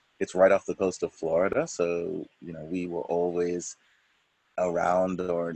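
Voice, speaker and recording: A man with a Bahamian accent, in a dry, close sound with no echo. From Bahamas. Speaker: church member. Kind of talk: interview.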